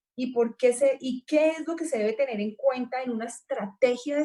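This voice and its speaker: A woman's high-pitched voice with a dark, mellow tone, at a moderate pace. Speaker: panel moderator. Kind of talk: panel discussion.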